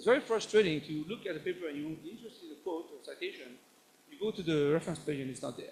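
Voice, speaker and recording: A man with a French accent rattles along at a very fast pace in a high voice, his intonation lively and his loudness swinging widely. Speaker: professor. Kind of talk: lecture. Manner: halting.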